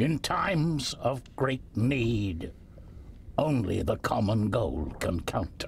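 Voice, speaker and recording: Using a put-on character voice at a medium pitch, a man speaks very slowly over clear background noise. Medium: video game. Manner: measured, dignified.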